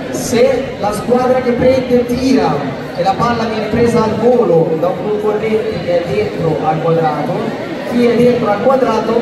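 Crowd noise in the background and audible room echo accompany speech at a fairly slow pace. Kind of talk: instructions to children. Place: hall. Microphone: camera far.

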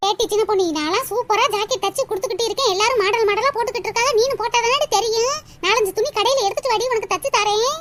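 A cartoonish character voice from a woman, extremely high in pitch, fairly quick, with very even loudness and ordinary pitch variation. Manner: boastful, bossy.

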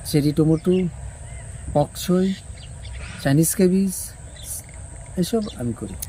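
This man's voice sits high in pitch. He uses lively intonation. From Tripura, India. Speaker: vegetable farmer. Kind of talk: interview.

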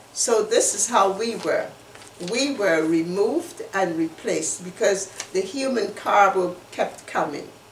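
With light background noise and audible room echo, a woman speaks at a fairly slow pace and medium pitch with lively intonation. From Guyana. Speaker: human rights activist and community association member. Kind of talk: educational presentation. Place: home room. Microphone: webcam.

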